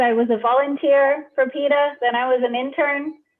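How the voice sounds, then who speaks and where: A woman with an American accent speaks at a high pitch and a fairly slow pace. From United States. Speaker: animal rights executive. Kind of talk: interview.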